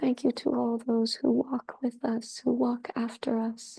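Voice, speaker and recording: The intonation is monotone and flat, with vocal fry and a dark, mellow tone. The pace is fairly slow. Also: woman. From Peruvian ancestry. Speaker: curandera, priestess and meditation guide. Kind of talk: guided meditation and ceremony opening. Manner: slow, reverent, prayerful.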